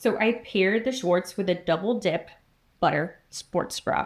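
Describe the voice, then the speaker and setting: The voice moves at a fairly slow pace with ordinary pitch variation in a very clean recording with a silent background. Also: woman. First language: not English. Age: 50s. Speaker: fitness YouTuber. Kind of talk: product review vlog. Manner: casual, chatty.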